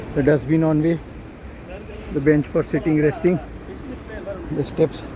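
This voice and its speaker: Against noticeable background noise, a man with a fairly high pitch speaks fairly slowly in a flat, monotone way. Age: 70s. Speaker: travel vlogger. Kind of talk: travel vlog narration. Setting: outdoors.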